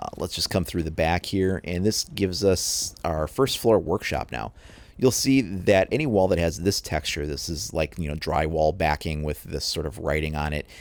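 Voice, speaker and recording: With lively intonation, a man speaks in a very deep, low voice. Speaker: gaming video creator. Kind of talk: game walkthrough tutorial. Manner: fast.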